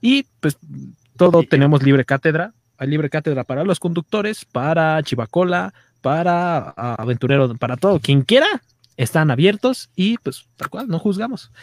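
In a dry, close sound with no echo, a man with a fairly high voice speaks at a moderate pace, his pitch swinging very widely. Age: 40s. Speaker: podcast host. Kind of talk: casual chat. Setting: livestream.

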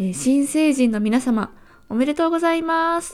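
A high woman's voice at moderate speed, its intonation lively. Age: 20s. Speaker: podcast host. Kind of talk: solo podcast talk.

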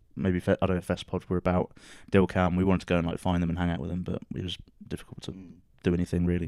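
In a very clean recording with a silent background and a dry, close sound free of echo, a man with a British accent speaks very fast in a very deep, low pitch with monotone, flat intonation. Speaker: podcast co-host. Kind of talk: casual chat.

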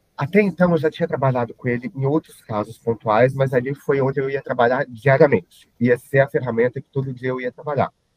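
With an ordinary speaking voice, a man talks at a fairly quick pace, his medium pitch showing ordinary variation. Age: 30s. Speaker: IT consultant and social media influencer. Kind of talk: podcast interview.

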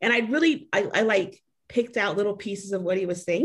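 A woman with an ordinary speaking voice talks at a medium pitch with lively intonation. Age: 40s. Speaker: single mom. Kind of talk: casual chat.

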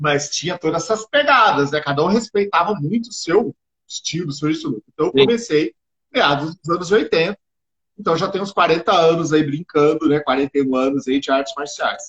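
At a moderate pace, a man talks with a high pitch and lively intonation, the sound dry and close with no echo. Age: 50s. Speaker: martial arts instructor. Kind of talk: casual interview.

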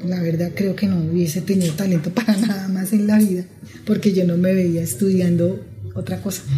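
A woman speaks at a medium pitch with fairly even intonation. Her pace is fairly quick, and the room echo is audible. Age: 50s. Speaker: seamstress. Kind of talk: interview testimony.

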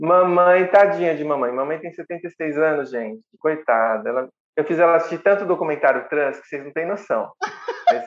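A woman speaks with a very deep, low pitch. Her loudness swings widely. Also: ordinary pitch variation, moderate pace. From Brazil, small town, partly raised in São Paulo. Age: 40s. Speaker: psychologist, municipal official. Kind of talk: casual interview chat.

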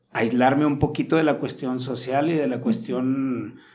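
A man with a medium-pitched voice talks at a fairly slow pace, with audible room echo. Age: 50s. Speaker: martial arts instructor. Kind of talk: interview.

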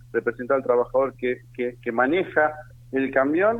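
Fairly quick speech from a man, noticeable noise running in the background. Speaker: trade union leader. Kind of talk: radio interview. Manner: animated.

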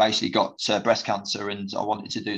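Speaking at a fairly quick pace, a man uses a fairly low voice. The background is quiet. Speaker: former football player and manager. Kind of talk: casual interview. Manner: halting, many fillers and repetitions.

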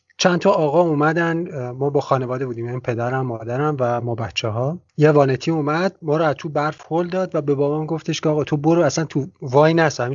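Words come at a very fast pace with hardly any pauses and ordinary pitch variation. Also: man, fairly high pitch for a man. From Iran. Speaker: travel podcast host. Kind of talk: interview conversation. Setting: Skype call.

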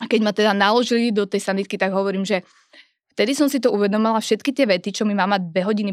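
On a very clean recording with a silent background and a dry, close sound with no echo, a woman speaks at a very fast pace, medium-pitched with fairly even intonation. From Moravia, Czech Republic. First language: Czech (speaking Slovak). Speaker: fitness trainer. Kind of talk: casual chat. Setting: studio.

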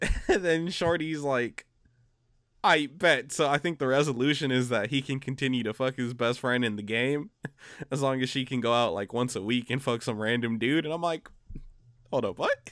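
An unremarkable speaking voice from a man, pitched in the medium range, moderately paced, its pitch varying in an ordinary way. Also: very clean recording, silent background. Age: 20s. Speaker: podcast co-host. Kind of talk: casual chat.

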